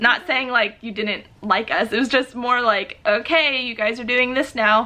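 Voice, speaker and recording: Amid noticeable background noise, a woman with a high pitch talks at a moderate pace with ordinary pitch variation. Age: 30s. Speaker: YouTuber. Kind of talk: casual chat. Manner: animated.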